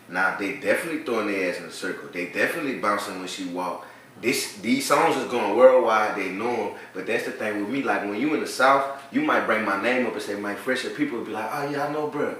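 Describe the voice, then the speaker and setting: A man at medium pitch with ordinary pitch variation, talking at a very fast pace amid noticeable background noise and audible room echo. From New Orleans, Louisiana. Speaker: rapper. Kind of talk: casual interview chat.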